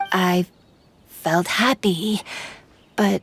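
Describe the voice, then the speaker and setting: A woman in a put-on character voice at medium pitch. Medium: fan dub. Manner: timid.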